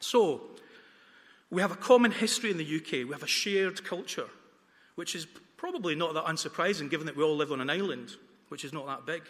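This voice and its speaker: A man with a slight Dundonian accent talks at a very fast pace in a high pitch with ordinary pitch variation. Long, frequent pauses break up his speech. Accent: faint Dundonian Scottish. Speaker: campaign speaker. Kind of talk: debate speech. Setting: town hall with student audience.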